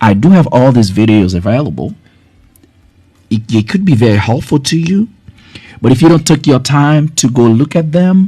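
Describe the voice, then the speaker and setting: A man with a fairly high pitch and a dark, mellow tone speaks at a moderate pace, leaving long, frequent pauses. His pitch swings very widely while his loudness stays very even. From Haiti. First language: not English (Haitian Creole or French). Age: 50s. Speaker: health educator. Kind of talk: live stream talk.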